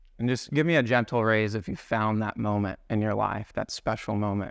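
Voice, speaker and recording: A fairly low-pitched man with ordinary pitch variation against a quiet background. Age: 30s. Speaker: guest speaker at a men's Bible study. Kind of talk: sermon. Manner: animated.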